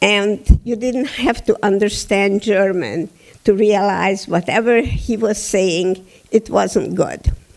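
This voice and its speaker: In a Hungarian accent, a woman speaks very slowly at a medium pitch. Her intonation is fairly even. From Hungary, Budapest. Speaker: Holocaust survivor speaker. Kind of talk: testimony. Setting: theatre stage with audience.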